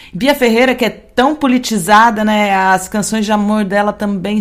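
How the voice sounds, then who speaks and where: A woman's unremarkable speaking voice at a medium pitch, with ordinary pitch variation and a fairly slow pace. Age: 40s. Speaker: radio podcast host. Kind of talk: radio show presenting.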